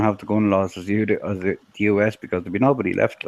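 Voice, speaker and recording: Talking at a very fast pace, a man with an Irish accent has a fairly low pitch. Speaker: streamer. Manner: crude, joking.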